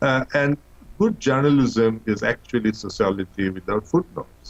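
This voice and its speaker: A man with a Bengali accent speaks at a moderate pace. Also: medium pitch for a man, lively intonation. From Bangladesh. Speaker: professor. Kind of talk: interview.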